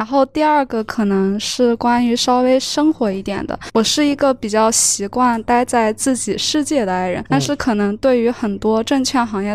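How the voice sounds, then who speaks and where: At a moderate pace, a woman uses a normal speaking voice pitched fairly high, with ordinary pitch variation. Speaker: university student. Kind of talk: audience question at a salon. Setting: live salon with audience.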